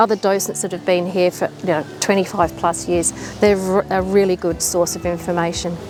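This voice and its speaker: A woman with a medium pitch speaks fairly quickly in an Australian accent. Music plays in the background. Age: 60s. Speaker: zoo volunteer guide. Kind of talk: interview.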